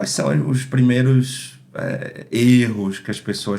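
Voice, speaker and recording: There is noticeable background noise behind this recording. A man speaks at a very slow pace. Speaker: podcast host. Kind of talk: interview. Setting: live stream.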